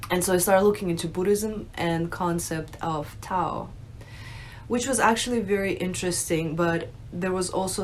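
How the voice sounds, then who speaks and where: There is audible room echo as a woman with an American accent speaks at a fairly slow pace. Her pitch is medium, with ordinary pitch variation. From Russia, raised in the US from age nine. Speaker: religious video creator, convert. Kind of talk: unscripted personal testimony. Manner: casual, conversational with fillers.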